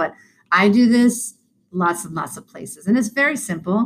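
Lively intonation from a woman. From Boston, US. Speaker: clinical social worker and speaker. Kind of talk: guided breathing exercise; casual chat. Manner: fast.

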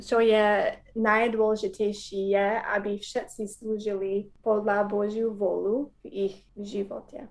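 Here a woman speaks in an American accent at a fairly slow pace. Her pitch is fairly high and her intonation is monotone and flat. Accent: American English accent in Slovak. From US, Wisconsin. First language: English (speaking Slovak). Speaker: missionary, former teacher. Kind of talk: interview testimony.

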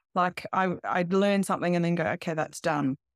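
In an Australian accent, a woman talks at a moderate pace with ordinary pitch variation, recorded with a dry, close sound and no echo. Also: very clean recording, silent background. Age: 40s. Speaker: life coach. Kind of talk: interview.

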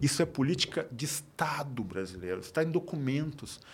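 Lively intonation marks this man's speech on a very clean recording with a silent background. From Porto Alegre, Brazil. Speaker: writer and poet.

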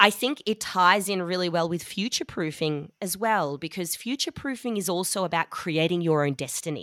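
A woman's bright, sharp voice in an Australian accent, lively in intonation, with hardly any pauses. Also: fairly low pitch for a woman, fairly quick pace, very clean recording, silent background. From Melbourne, Australia. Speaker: business co-founder. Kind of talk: casual interview.

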